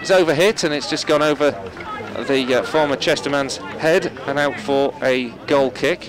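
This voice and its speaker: A man's fairly high voice at a fairly slow pace, with ordinary pitch variation and crowd noise in the background. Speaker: football match commentator. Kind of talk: live football match commentary.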